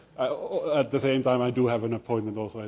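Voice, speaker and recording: A man's dark, mellow voice at a medium pitch, with fairly even intonation. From Finland. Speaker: theoretical physicist, professor. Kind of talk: lecture. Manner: halting, many fillers and restarts.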